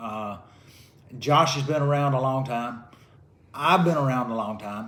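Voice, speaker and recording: With a Southern US accent, a man talks at a fairly slow pace and medium pitch with ordinary pitch variation, and the room echo is audible. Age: 60s. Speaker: retired karate fighter. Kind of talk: casual chat. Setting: at home, drinking beer.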